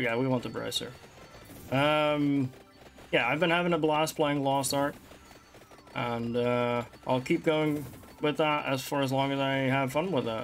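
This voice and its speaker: The speaker has a Dutch accent and a moderate pace, with long, frequent pauses. Music plays in the background. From Netherlands. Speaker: gaming streamer. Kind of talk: let's play commentary.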